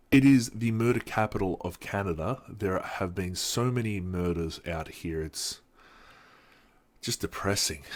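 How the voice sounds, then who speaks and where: A man with an Australian accent speaks at a fairly slow pace, his pitch fairly low with ordinary variation. The recording is very clean, with a silent background. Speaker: vlogger. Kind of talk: casual vlog monologue. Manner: halting, many fillers.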